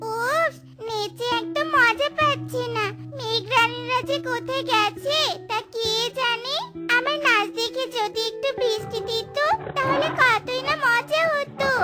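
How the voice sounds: A cartoonish character voice at an extremely high pitch speaks at a fairly slow pace. Clear music plays in the background.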